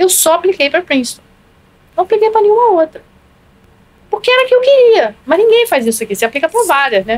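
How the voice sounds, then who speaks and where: A woman talks at a very fast pace with an extremely high pitch and very wide pitch swings. Her loudness stays very even, broken by long, frequent pauses. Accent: Rio de Janeiro. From Rio de Janeiro, Brazil. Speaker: public health professor. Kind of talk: podcast interview answer.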